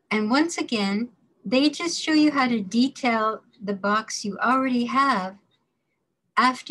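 A woman talks at a fairly slow pace with lively intonation. The background is quiet. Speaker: course instructor. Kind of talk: lecture. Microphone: webcam.

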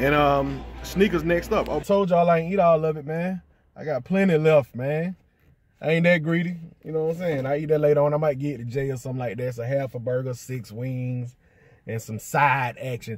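A man talks at a fairly quick pace with music playing behind him. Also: ordinary pitch variation, dry sound with no echo. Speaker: sneaker vlogger. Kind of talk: casual vlog chat. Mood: relaxed, upbeat. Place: car. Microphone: phone near.

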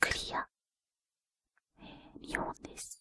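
Whispering at a moderate pace. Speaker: ASMR creator. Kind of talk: ASMR craft demonstration. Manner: whispered. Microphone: studio mic.

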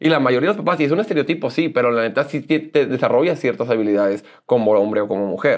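A man's fairly high, animated voice at a very fast pace, lively in intonation, with hardly any pauses and a quiet background. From northern Mexico, Monclova, Coahuila; Coahuila, Mexico. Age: 30s. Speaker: social media personality; interview guest. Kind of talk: interview, casual chat. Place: studio. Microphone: lapel.

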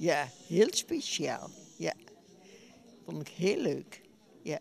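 Light background noise sits behind a woman as she speaks. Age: 80s+. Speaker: bridge player. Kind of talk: interview answer. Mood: cheerful, pleased. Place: hall. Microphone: handheld.

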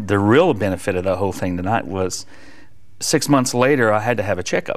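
A man speaks at a fairly quick pace with an American accent, his voice fairly low with ordinary pitch variation. The background is quiet. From US South. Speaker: worship leader and evangelist; evangelist. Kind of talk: testimony. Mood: warm, earnest. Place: studio. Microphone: lapel.

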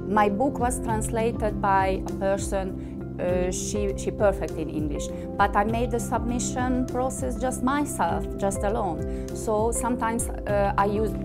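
Loud music plays in the background. A woman with a non-native accent talks with hardly any pauses. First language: not English. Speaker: author. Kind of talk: interview answer. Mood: warm, proud. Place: home room.

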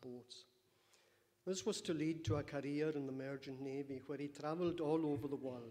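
A man talks at a moderate pace, his intonation fairly even. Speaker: speaker. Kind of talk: eulogy. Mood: solemn, warm. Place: church. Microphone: podium.

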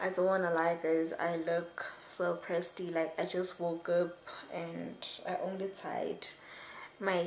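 A woman talks at a fairly slow pace, and audible room echo surrounds her voice. Light background noise sits underneath. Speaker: student vlogger. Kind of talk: casual vlog chat. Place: home room. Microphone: camera far.

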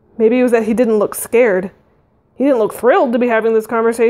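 Someone reads in a natural reading voice.

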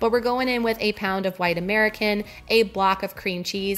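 The pace is fairly quick. This woman's pitch shifts in an ordinary way. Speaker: vlogger. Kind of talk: casual cooking tutorial narration. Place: kitchen.

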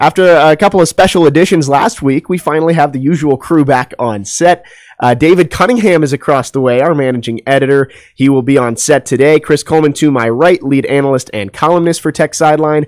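A man talks at a fairly quick pace with ordinary pitch variation against a quiet background. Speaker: podcast host. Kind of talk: show intro and host talk. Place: studio. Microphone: studio mic.

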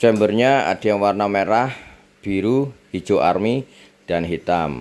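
A man's speech unfolds fairly slowly, its pitch varying in an ordinary way. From Indonesia. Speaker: seller. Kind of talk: sales pitch, product promo video. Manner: upbeat, friendly, closing with pleasantries. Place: home room. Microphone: phone near.

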